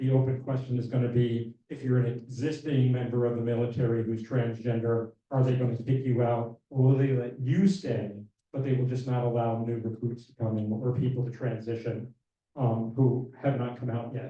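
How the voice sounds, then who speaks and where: Speaking at a moderate pace, a man sounds somewhat breathy, with monotone, flat intonation and big swings in loudness. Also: medium pitch for a man. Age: 60s. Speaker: LGBTQ rights advocate. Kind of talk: town hall presentation. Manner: casual, conversational.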